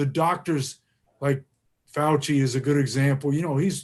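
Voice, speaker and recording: At a moderate pace, a man with a fairly high pitch speaks in a somewhat breathy way. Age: 70s. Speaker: political candidate and retired teacher. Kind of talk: interview. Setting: live stream interview. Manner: halting, many fillers and restarts.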